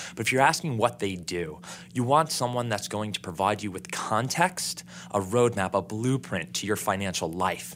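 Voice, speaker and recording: A man's ordinary speaking voice, fairly low in pitch, with lively intonation at a moderate pace. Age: 30s. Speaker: financial advisor. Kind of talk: interview.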